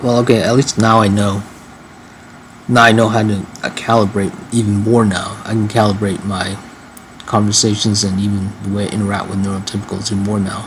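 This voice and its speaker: Amid noticeable background noise and audible room echo, a man talks at a fairly quick pace with monotone, flat intonation. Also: fairly low pitch for a man. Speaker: vlogger. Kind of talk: casual monologue vlog. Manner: fast; halting, repetitive.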